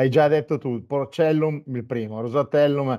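A man speaks at a medium rate and ordinary pitch variation, the background quiet. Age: 50s. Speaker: web TV host; interview host. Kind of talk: interview. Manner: halting. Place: studio.

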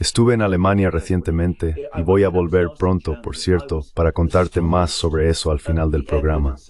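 A man speaks at a very deep, low pitch and a moderate pace. His pitch varies in an ordinary way. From England, London. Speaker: political commentator. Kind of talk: casual chat.

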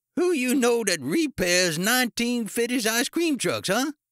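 A croaky, shouted put-on character voice at a fairly slow pace, with big pitch swings and a dry, close sound with no echo. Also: man, extremely high pitch for a man, fairly bright tone, very clean recording, silent background.

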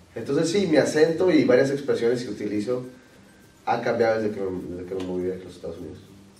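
Speaking fast with lively intonation, a man with a fairly low pitch and a slightly mellow tone is heard amid strong room echo.

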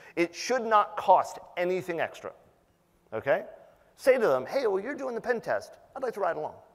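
Speech from a man, with a quiet background behind it. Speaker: conference presenter. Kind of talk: conference talk. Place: hall.

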